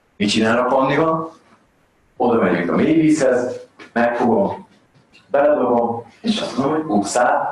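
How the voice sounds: Lively intonation marks this man's speech, with audible room echo around it. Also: medium pitch for a man.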